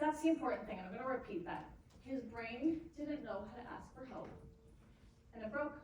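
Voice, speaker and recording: The speech comes at a fairly quick pace with lively intonation, big swings in loudness, and long, frequent pauses, all with audible room echo. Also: woman, high pitch for a woman. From Canada. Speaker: motivational speaker. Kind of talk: keynote speech. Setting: stage with audience.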